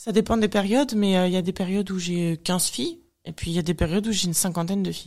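Her plain, everyday voice comes through a very clean recording with a silent background, as the woman speaks at medium pitch and a fairly quick pace. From France. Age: 30s. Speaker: bodybuilding athlete. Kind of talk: casual chat.

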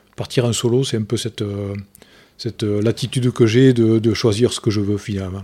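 This voice has a dark, mellow tone and a slight southern French accent. It moves at a moderate pace with monotone, flat intonation. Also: man, medium pitch for a man. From Lozère, southern France. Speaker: amateur ocean rower, petrochemical manager. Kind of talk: interview. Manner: halting.

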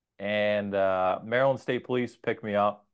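A normal speaking voice in an American accent with fairly even intonation. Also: man. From New Jersey. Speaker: police sergeant. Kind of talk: casual chat.

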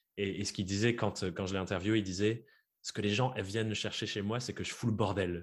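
The background is silent on a very clean recording. A man talks at a moderate pace, his intonation fairly even. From France, Dordogne. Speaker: podcaster and freelance coach. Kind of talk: interview. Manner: hesitant, many fillers.

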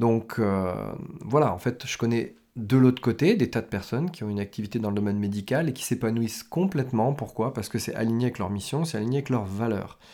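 A man with a medium-pitched, dark, mellow voice speaks at a fairly quick pace with ordinary pitch variation. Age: 40s. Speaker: business coach. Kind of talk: solo podcast monologue. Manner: hesitant, many fillers.

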